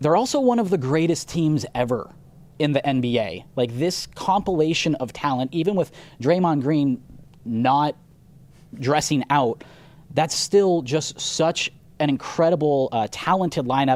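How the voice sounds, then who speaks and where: Over a very clean recording with a silent background, a man with a plain, everyday voice speaks at a fairly slow pace and fairly high pitch, with ordinary pitch variation. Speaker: radio host. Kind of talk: sports radio talk. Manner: casual, conversational.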